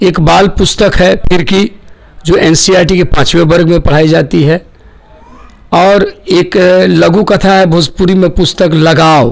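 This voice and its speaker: The speaker has a Bihari accent, very even loudness and fairly even intonation. Noticeable background noise runs throughout. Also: man, high pitch for a man. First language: Bhojpuri (speaking Hindi). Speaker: poet and lyricist. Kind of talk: interview.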